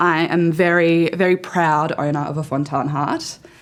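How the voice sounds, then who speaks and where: Speaking in an Australian accent, a woman talks at a fairly low pitch. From Australia (central West New South Wales). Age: 20s. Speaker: journalist. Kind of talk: personal testimony interview. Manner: loud.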